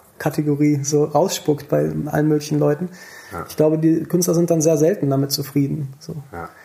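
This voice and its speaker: Man with a plain, everyday voice, fairly high pitch, fairly even intonation, and moderate pace. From Rhineland, western Germany (near Bonn). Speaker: musician. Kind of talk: casual chat.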